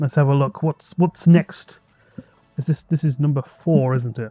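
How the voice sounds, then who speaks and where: A man's fairly high voice with a British accent, at a fairly slow pace with long, frequent pauses, music in the background and a dry, close sound with no echo. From Britain. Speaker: podcast co-host. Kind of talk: casual chat. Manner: animated.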